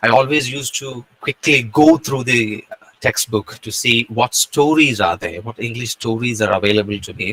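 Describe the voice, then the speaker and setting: A man at a medium pitch and moderate pace, with ordinary pitch variation and big swings in loudness. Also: dry, close sound with no echo. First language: not English. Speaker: guest speaker. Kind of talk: lecture. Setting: video call.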